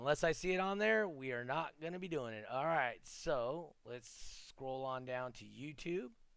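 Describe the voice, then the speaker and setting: In an ordinary speaking voice, a man talks at a moderate pace with hardly any pauses, a fairly high pitch, lively intonation and big swings in loudness. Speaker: podcast host. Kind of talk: live podcast chat with giveaway. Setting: live stream with online chat.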